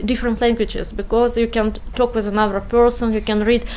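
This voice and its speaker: A high-pitched woman with a non-native accent, amid noticeable background noise. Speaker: refugee, physician. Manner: halting.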